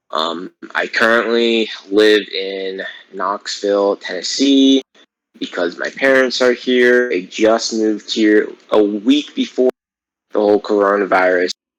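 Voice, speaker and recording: A man talks at a fairly slow pace in a plain, everyday voice, fairly low in pitch with ordinary pitch variation. The sound is dry and close, with no echo. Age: 20s. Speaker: podcast co-host, college student. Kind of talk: casual chat. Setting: online call via Discord. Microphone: choppy connection.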